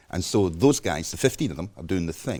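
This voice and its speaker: On a very clean recording with a silent background, a man with a Scottish accent speaks in a dark, mellow tone with vocal fry. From Scotland. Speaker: journalist. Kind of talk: interview.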